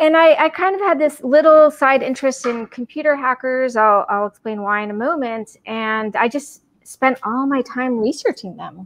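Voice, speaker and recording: The intonation is lively. Delivery comes at a moderate pace. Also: woman. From Puerto Rico. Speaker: anthropologist and author; guest. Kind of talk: podcast interview. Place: home room. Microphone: video call.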